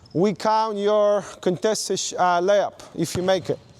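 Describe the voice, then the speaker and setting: A high-pitched man with a non-native accent at a fairly slow pace. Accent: foreign. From not from Australia. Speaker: basketball coach. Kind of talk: coaching clinic demonstration. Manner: animated.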